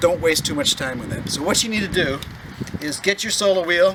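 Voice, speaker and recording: Speech comes at a moderate pace. Noticeable background noise runs underneath. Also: man. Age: 60s. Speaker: hobbyist video maker. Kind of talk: casual tutorial.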